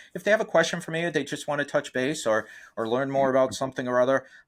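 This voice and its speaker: Over a quiet background, a man talks with a Boston accent and ordinary pitch variation. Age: 50s. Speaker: real estate investor and coach. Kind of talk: interview. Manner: halting, many fillers.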